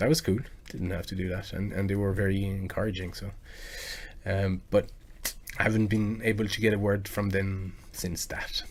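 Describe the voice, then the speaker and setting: A man's fairly low, somewhat breathy voice at a moderate pace, with fairly even intonation, long, frequent pauses and audible room echo. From France. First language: French. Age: 40s. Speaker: video game music cover artist and live streamer. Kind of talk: casual live stream chat. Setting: live stream. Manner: halting, many fillers and repetitions.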